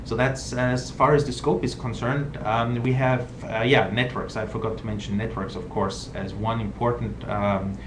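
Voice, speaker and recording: Speaking with a non-native accent, a man talks at a moderate pace and medium pitch with fairly even intonation, amid noticeable background noise and audible room echo. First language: not English. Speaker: journal editor-in-chief. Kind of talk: live online Q&A talk. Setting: live video stream. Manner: hesitant, many filler words.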